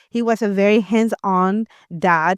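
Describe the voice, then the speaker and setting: The recording is very clean and dry, with a close sound, no echo, a silent background and fairly even intonation. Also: woman. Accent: Spanish. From Latin America. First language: Spanish. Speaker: homeschooling parent and former educator. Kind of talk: interview. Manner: halting, many fillers and repeated words.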